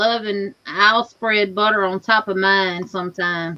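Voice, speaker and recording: With a strong Southern US accent, the speaker talks at a fairly slow pace. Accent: deep Southern US. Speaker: livestream host reading chat. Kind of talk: casual chat.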